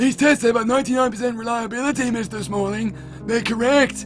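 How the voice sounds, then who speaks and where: A man uses a put-on character voice at an extremely high pitch, with clear music in the background. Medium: game stream. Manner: formal, polite, deadpan.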